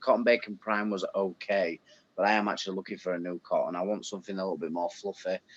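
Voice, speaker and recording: A man with a Yorkshire accent talks at a very fast pace. The sound is dry and close, with no echo. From Yorkshire, northern England. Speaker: viewer in live chat. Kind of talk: casual chat.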